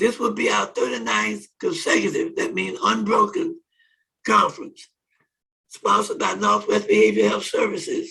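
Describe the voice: A man with a high, bright, sharp voice, a husky, rough edge and vocal fry talks at a moderate pace with lively intonation.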